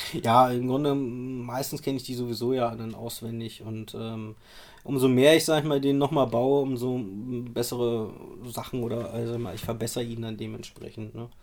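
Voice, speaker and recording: A man with a medium pitch speaks at a moderate pace, keeping his intonation fairly even. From Rostock, northeastern Germany. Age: 30s. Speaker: geocacher and cache builder. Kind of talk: casual chat. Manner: halting, many fillers.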